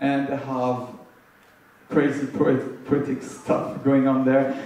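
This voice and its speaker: In a French accent, a man speaks very slowly at a medium pitch with monotone, flat intonation. Room echo is audible, and background noise is noticeable. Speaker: panelist at youth forum. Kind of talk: panel discussion. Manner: halting.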